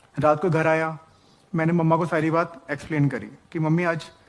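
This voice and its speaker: The pace is moderate. A man's voice is fairly high in pitch. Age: 30s. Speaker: man recounting false harassment accusation. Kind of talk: personal testimony.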